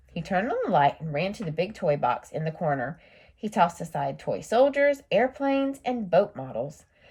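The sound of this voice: An unforced reading voice. That is what this clip has.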